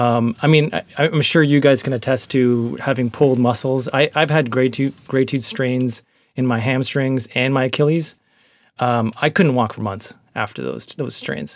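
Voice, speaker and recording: This man has an unremarkable speaking voice at a medium pitch and moderate pace, with fairly even intonation. The recording is very clean, with a silent background. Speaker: guest host and producer. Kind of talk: casual banter. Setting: closet at home with headphones.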